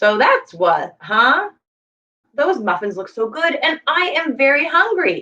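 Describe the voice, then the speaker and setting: In a put-on character voice, a woman speaks high and fairly slowly. Her pitch swings very widely. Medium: read story. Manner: mock-ferocious.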